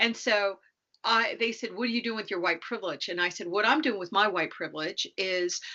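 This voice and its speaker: A woman talks in an unremarkable speaking voice. Her pitch varies in an ordinary way. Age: 60s. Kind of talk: podcast interview.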